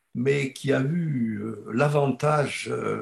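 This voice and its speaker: Vocal fry runs through a man's voice at a medium pitch. His pitch variation is ordinary. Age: 70s. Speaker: retired geology professor. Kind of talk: panel interview.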